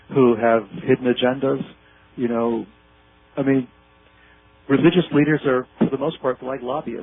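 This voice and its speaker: A man with an American accent talks at a medium pitch. He leaves long, frequent pauses. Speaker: researcher and author. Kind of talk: interview. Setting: phone call. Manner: fast; animated. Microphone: unstable phone connection.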